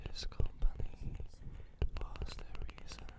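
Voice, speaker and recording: Whispering at a very slow pace. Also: woman. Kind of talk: ASMR perfume talk, soft spoken. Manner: soft-spoken, whispery, calming.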